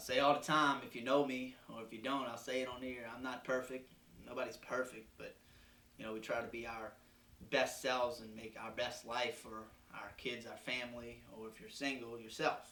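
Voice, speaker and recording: Audible room echo carries a man's voice as he speaks with monotone, flat intonation. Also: medium pitch for a man, moderate pace, big swings in loudness. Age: 20s. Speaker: podcast host. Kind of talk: personal reflection monologue. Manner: halting.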